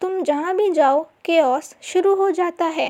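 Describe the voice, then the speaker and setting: In a put-on character voice, a woman speaks with an extremely high pitch at a fairly slow pace. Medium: read story. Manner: haughty, sharp.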